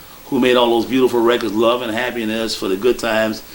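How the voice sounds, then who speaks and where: Noticeable background noise sits behind a man with an American accent. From Chicago, South Side / Hyde Park. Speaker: blues musician. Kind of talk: interview monologue.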